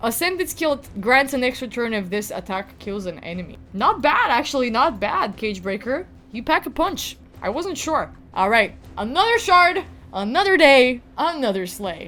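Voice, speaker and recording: Speaking at a moderate pace with a slight Balkan accent, the voice is animated, swings very widely in pitch, and has noticeable background noise behind it. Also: woman, high pitch for a woman. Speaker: gaming youtuber. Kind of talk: gameplay commentary.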